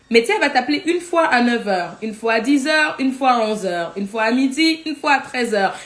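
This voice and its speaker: Against noticeable background noise, a woman talks at a very fast pace with hardly any pauses. Her voice is high-pitched, with lively intonation. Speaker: life coach. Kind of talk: live teaching.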